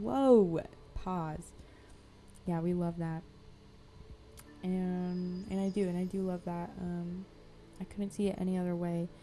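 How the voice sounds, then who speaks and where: Mumbled speech at a fairly slow pace, broken by long, frequent pauses, with fairly even intonation and music playing in the background. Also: woman, fairly low pitch for a woman. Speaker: artist, art vlogger. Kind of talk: casual chat to camera while crafting. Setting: home art studio. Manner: casual, filler-heavy, says um a lot; mumbling, poor enunciation.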